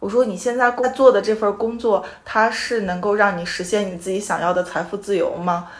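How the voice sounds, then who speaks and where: A woman speaks at a medium pitch and fairly quick pace, with hardly any pauses. Her intonation is fairly even, and there is noticeable background noise. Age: 30s. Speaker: podcast host. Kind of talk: casual chat. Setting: guests' home.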